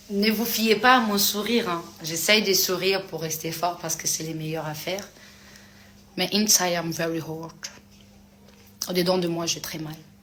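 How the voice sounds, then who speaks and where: Amid audible room echo, a woman speaks at a fairly low pitch and a moderate pace, with long, frequent pauses. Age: 30s. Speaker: influencer answering fans on a live. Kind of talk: live stream chat reading comments. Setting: live stream.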